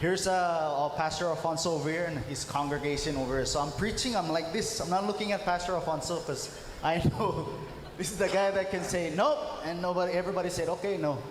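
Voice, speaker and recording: Against noticeable background noise and audible room echo, a man speaks at a very fast pace in a high pitch. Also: ordinary pitch variation. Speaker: pastor. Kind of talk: testimony. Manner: halting.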